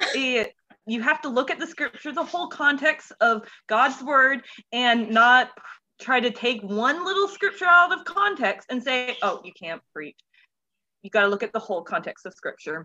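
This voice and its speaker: Raised and projected, a woman's bright, sharp voice with an American accent sits high in pitch, swings very widely, and moves at a moderate pace. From Central Florida. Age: 20s. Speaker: children's pastor. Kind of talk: casual interview. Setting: remote recording from home.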